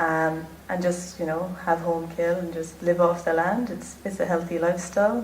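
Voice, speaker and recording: A woman's fairly low voice with an Irish accent, at a fairly slow pace, with audible room echo. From Ireland. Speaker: pageant contestant. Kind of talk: interview. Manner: natural, relaxed.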